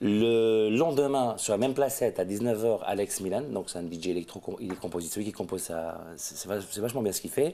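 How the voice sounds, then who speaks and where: Speaking at a very fast pace, a man talks. His pitch variation is ordinary. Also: fairly low pitch for a man. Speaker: festival organizer. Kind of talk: interview.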